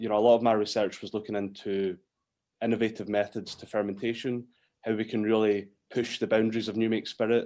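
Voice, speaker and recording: A man speaks at a very fast pace in a fairly low pitch. His intonation is monotone and flat. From Scotland. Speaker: whisky distiller. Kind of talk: interview. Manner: hesitant, many fillers.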